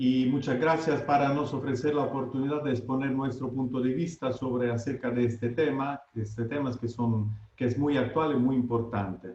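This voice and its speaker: With an Italian accent, a man talks at a moderate pace and medium pitch, his intonation fairly even and hardly any pauses between words. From Italy. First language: Italian (speaking Spanish). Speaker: lawyer. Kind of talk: webinar presentation. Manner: halting.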